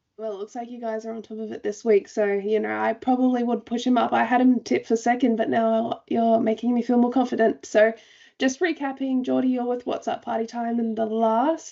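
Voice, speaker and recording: A woman with an Australian accent talks at a fairly quick pace in a fairly high pitch. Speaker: racing show host. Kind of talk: casual panel chat.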